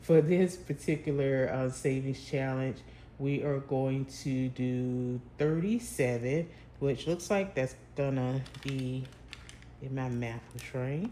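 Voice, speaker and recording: Mumbling in a put-on character voice at a low-to-middle pitch, the speaker goes at a fairly slow pace over clear background noise. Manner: mumbling a little.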